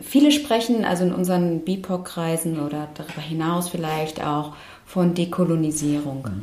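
In an ordinary speaking voice, a woman talks at a fairly slow pace. Her pitch is fairly low, with ordinary variation. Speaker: activist and lawyer. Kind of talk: casual interview conversation. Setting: studio.

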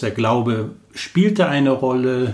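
Somewhat breathy, a man talks with lively intonation. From Germany, Cologne. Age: 50s. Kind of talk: personal faith interview. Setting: small room, in person.

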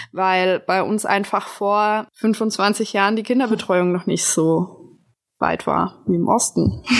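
At a very slow pace, a woman speaks at a medium pitch with fairly even intonation and very even loudness. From Bavaria, near Augsburg. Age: 20s. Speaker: podcast host. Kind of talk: casual chat.

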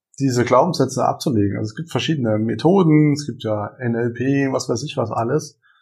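A man's normal speaking voice at medium pitch and a moderate pace, over a quiet background. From Germany, Saarland. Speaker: entrepreneur and coach. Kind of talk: casual interview. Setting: coworking space.

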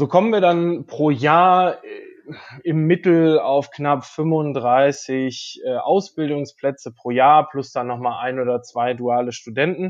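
Very slowly and with ordinary pitch variation, a man speaks in a fairly high voice. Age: 30s. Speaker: vocational trainer. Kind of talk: interview. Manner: hesitant, many filler sounds.

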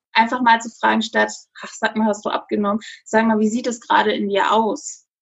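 A woman talks at a fairly quick pace in a normal speaking voice with a fairly high pitch. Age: 30s. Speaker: social media influencer. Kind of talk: interview. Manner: casual with fillers.

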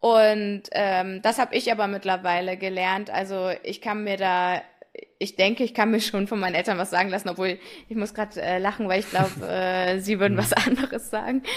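An ordinary speaking voice with fairly even intonation at a moderate pace. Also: woman, medium pitch for a woman. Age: 20s. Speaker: young family business successor. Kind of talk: interview.

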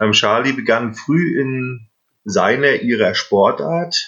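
This is a man speaking. His pace is very slow. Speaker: podcast host. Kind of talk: casual chat. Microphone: recorded on phones, poor sound.

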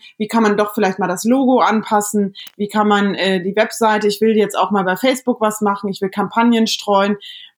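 A woman speaks in a plain, everyday voice at a medium pitch. She talks at a fairly quick pace with hardly any pauses and fairly even intonation. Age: 30s. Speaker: podcast host. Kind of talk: casual chat. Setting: remote call from home bedroom.

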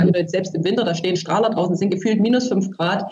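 Room echo is audible as a woman talks at a medium pitch. Her intonation stays fairly even. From Germany, from a small village. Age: 30s. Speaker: author. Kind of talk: interview. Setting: remote call.

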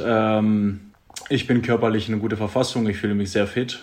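A man with a Greek accent speaks at a moderate pace in a fairly low pitch, his intonation flat and monotone. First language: Greek (speaking German). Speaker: handball player. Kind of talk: casual interview. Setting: video call.

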